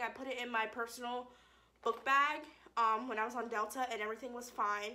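With fairly even intonation, a woman talks at a moderate pace. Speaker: vlogger. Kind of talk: casual vlog chat. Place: home room.

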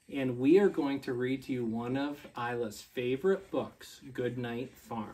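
A man's warm, playful tone comes at a fairly slow pace with hardly any pauses and ordinary pitch variation. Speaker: school staff member reading to children. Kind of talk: gentle bedtime story read aloud to young children, with pauses for kids. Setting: at home with his young children. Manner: soothing, lilting storyteller cadence, softly winding down; warm and playful, laughing and prompting little listeners. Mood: calm, soft bedtime tone. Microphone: camera far.

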